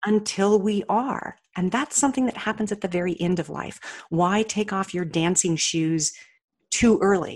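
A woman speaks with an American accent at a moderate pace. She has an unremarkable speaking voice with ordinary pitch variation. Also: medium pitch for a woman. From Colorado. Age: 60s. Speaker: author and motivational speaker. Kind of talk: interview. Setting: remote call.

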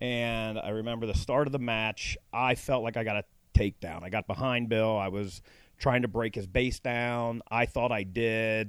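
In a very clean recording with a silent background, a man with a Midwestern American accent talks at a medium pitch and moderate pace with fairly even intonation. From Cincinnati, Ohio. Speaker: former high school wrestler. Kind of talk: interview. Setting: outdoors by a pool.

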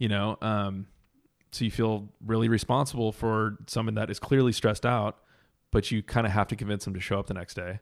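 With an American accent and a fairly low pitch, a man speaks at a fairly quick pace in monotone, flat intonation. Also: very clean recording, silent background. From Southern California. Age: 30s. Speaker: chef and entrepreneur. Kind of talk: casual chat.

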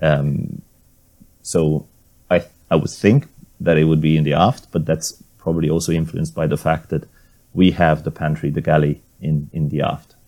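A dark, mellow tone with a Hungarian accent, moderate in pace, fairly even in intonation, broken by long, frequent pauses. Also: man, very deep, low pitch for a man. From Hungary. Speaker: maritime archaeologist and sailor. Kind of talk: interview.

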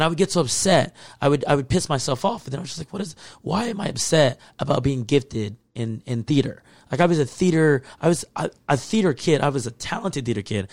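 Very fast, somewhat breathy talk from a man with a fairly high pitch and lively intonation. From Texas. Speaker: podcast co-host. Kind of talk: casual chat.

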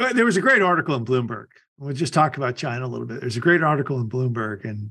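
A man's medium-pitched voice, a plain, everyday voice with ordinary pitch variation. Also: quiet background. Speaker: podcast host. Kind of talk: casual interview chat.

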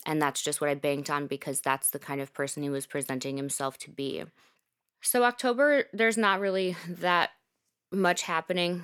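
A woman's ordinary speaking voice, fairly low in pitch with lively intonation at a moderate pace, in a dry, close sound with no echo and a very clean recording with a silent background. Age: 30s. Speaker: podcast host sharing personal story. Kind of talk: personal storytelling. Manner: casual, filler-heavy.

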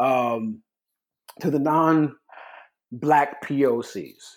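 The very clean recording, with a silent background, captures a man speaking in a fairly high pitch with ordinary pitch variation. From California. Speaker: corporate employee. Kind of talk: casual chat. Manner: halting.

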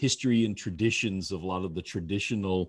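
Against a quiet background, a man speaks at a moderate pace with a fairly low pitch. His is an unremarkable speaking voice. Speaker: podcast co-host, wine lover. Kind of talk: casual chat.

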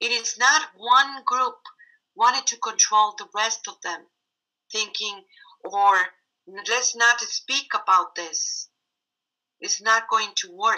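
With a Mexican accent, a woman of fairly high pitch speaks at a very slow pace with long, frequent pauses. Her pitch variation is ordinary, and her loudness swings widely. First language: Spanish. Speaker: medicine woman and spiritual teacher. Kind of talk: spiritual teaching talk.

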